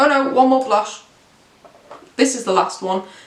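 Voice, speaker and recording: The speech moves at a fairly quick pace with lively intonation. Noticeable background noise and audible room echo fill the recording. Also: woman. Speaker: beauty youtuber. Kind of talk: product review. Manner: fast.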